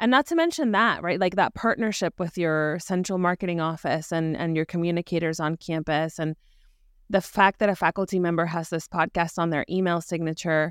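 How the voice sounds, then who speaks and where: Recorded very cleanly against a silent background, with a dry, close sound and no echo, a woman has an unremarkable speaking voice, fairly low in pitch, and keeps her intonation fairly even. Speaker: podcast host. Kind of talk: interview with promo reads.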